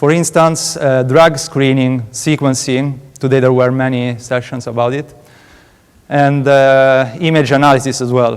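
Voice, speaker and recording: Speaking in an Italian accent, a man keeps a medium pitch, a moderate pace and fairly even intonation. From Italy, Rome. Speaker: PhD student researcher. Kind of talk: conference talk. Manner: halting, many fillers.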